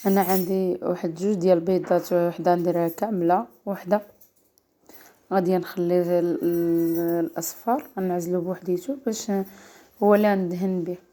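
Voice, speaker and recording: A woman's fairly low voice at a moderate pace, with music in the background. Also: fairly even intonation. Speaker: cooking channel host. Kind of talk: cooking tutorial.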